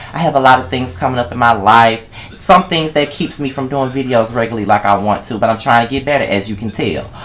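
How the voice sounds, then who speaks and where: An animated man with an American accent at a very fast pace, medium pitch and ordinary pitch variation, with noticeable background noise. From Mississippi. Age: 20s. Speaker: vlogger. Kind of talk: personal vlog monologue.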